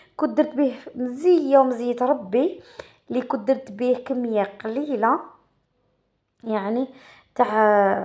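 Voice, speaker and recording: High-pitched female speech with ordinary pitch variation. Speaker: pastry cook, cooking channel host. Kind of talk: cooking tutorial. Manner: casual, halting with self-corrections.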